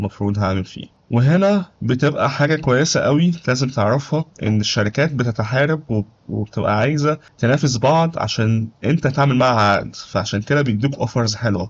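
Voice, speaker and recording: With an Egyptian accent, a man speaks at a moderate pace and medium pitch with ordinary pitch variation and hardly any pauses. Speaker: YouTuber giving advice on life in Germany. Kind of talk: tutorial. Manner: casual, conversational.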